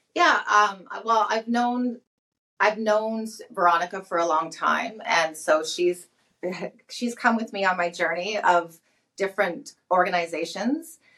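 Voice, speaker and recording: A woman with a Canadian accent, a bright, sharp tone, lively intonation and a fairly slow pace. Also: medium pitch for a woman. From Canada, Alberta. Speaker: company CEO. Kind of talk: interview.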